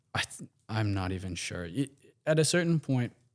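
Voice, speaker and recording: Speaking with an American accent at a moderate pace, a man is heard in a very clean recording with a silent background. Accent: American with slight Aussie twang. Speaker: guest. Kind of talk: casual chat.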